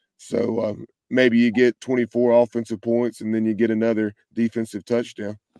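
A man's dark, mellow tone in a monotone, flat intonation, with a dry, close sound and no echo. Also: medium pitch for a man, moderate pace. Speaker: sports podcaster. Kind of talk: casual chat.

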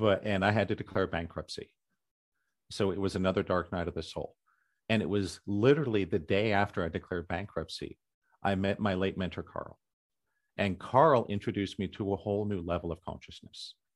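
A man with an American accent has a plain, everyday voice and a fairly low pitch with ordinary pitch variation. He speaks at a fairly quick pace over a quiet background. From US, culturally conservative area. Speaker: author and spiritual teacher. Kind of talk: interview.

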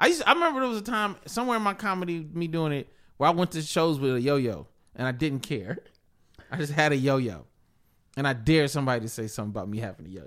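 This man talks at a very fast pace, his fairly high voice making very wide pitch swings. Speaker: podcast host and comedian. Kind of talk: casual chat.

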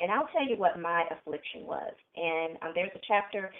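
This woman has an ordinary speaking voice, pitched fairly low. She moves at a moderate pace with ordinary pitch variation. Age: 40s. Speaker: author and speaker. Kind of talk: interview.

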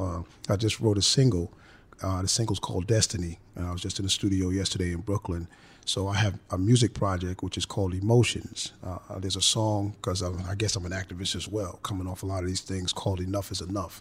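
This voice has a New York accent and sounds somewhat breathy. It moves at a very fast pace with monotone, flat intonation. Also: man, very deep, low pitch for a man. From the Bronx, New York. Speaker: author and comedian. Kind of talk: panel discussion. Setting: studio. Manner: halting, many fillers.

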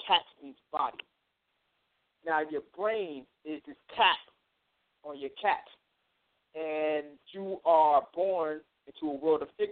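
This man talks at a fairly slow pace with a New York accent and a fairly high pitch. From Long Island, New York. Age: 30s. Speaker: spiritual teacher and musician. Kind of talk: lecture. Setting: phone call.

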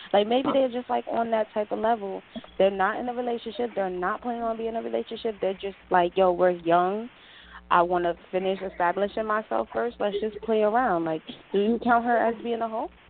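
Talking at a fairly quick pace, a woman with an American accent and fairly high pitch uses fairly even intonation in an unremarkable speaking voice. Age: 20s. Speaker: caller. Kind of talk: casual chat.

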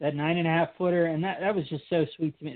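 It is a plain, everyday voice. The pace is fairly quick. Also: man. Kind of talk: casual chat.

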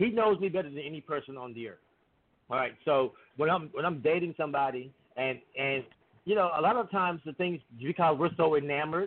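This is an unremarkable speaking voice at a fairly quick pace. Its pitch varies in an ordinary way. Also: man. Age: 40s. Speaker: podcast guest. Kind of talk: casual chat.

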